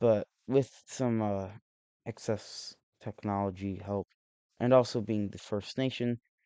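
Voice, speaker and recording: A man's fairly low, dark and mellow voice moves at a fairly slow pace with fairly even intonation, recorded dry and close with no echo. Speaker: map simulation video creator. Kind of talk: casual commentary narration. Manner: halting, many restarts and fillers.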